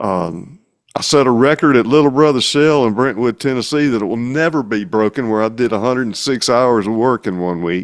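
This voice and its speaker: A man with a Mississippi accent speaks at a fairly quick pace. His pitch is medium with ordinary variation. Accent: Southern accent, Pontotoc Mississippi. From Mississippi, Pontotoc. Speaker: singer-songwriter and mechanic. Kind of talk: casual interview chat.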